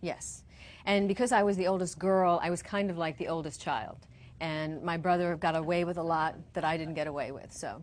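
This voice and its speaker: A woman's fairly low voice with an American accent, fairly quick and fairly even in intonation. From New York, the Bronx. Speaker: zoning attorney. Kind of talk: interview.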